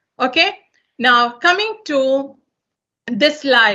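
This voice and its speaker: A woman speaks loudly in a high-pitched voice. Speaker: corporate trainer. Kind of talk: lecture.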